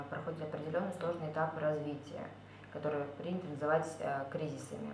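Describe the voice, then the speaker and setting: The intonation stays fairly even. Light background noise and audible room echo are present. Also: woman. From Kazakhstan. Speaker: course participant giving a testimonial. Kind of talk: testimonial monologue. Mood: calm, reflective. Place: home room. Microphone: webcam.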